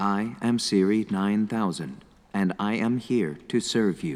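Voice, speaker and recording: Using a put-on character voice, a man speaks with a fairly low pitch. The pace is fairly slow. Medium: comedy sketch. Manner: calm, polite.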